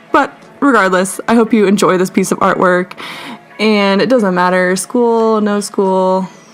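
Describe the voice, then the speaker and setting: Over background music, a woman talks at a fairly slow pace and a medium pitch. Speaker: artist. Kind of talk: casual voiceover over art timelapse. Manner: casual, rambling.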